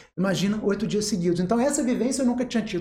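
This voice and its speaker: A man is speaking. His pitch is high. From Rio de Janeiro state, Angra dos Reis. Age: 40s. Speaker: psychiatrist. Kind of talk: interview.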